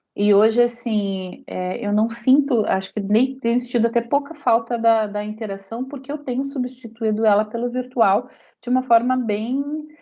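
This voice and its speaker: Fairly high-pitched with a dark, mellow tone, a woman speaks at a moderate pace with fairly even intonation and hardly any pauses. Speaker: lecturer. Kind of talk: lecture.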